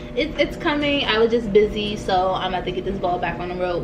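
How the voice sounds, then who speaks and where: Against noticeable background noise, a woman talks at a fairly quick pace. Her medium-pitched voice has lively intonation. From Maryland, Prince George's County. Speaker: vlogger. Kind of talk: casual chat. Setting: home kitchen table. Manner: chewing while talking.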